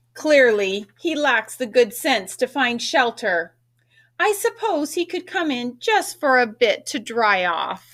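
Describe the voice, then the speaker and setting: A woman uses a put-on character voice. It is high-pitched and delivered at a fairly slow pace. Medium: read story.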